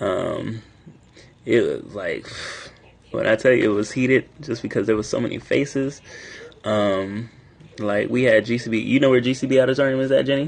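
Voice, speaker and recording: Speaking with an American accent, a man with a medium-pitched voice talks at a moderate pace with fairly even intonation and long, frequent pauses. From US South, Raleigh, North Carolina. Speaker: student club president, livestreamer. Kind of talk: casual livestream chat. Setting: livestream on a university campus.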